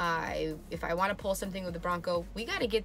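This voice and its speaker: Clear music sits behind a woman who talks at a fairly quick pace. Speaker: vlogger. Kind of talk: casual vlog chat. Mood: grateful, excited, laughing. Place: home room. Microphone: phone near.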